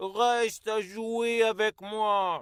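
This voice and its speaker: A man's high-pitched put-on character voice, monotone and flat, in a very clean recording with a silent background. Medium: read story.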